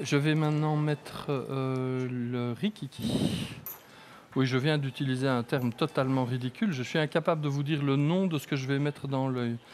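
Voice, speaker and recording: This man has a fairly high pitch and keeps to a moderate pace. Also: fairly even intonation. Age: 60s. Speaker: eye surgeon. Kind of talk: live surgery commentary. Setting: operating room, live broadcast.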